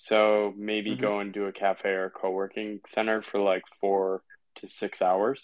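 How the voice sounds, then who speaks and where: A man with an American accent speaks at a fairly slow pace. His pitch is fairly low and his intonation monotone and flat. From US Northeast, Connecticut. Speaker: writer and former consultant. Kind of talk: casual interview.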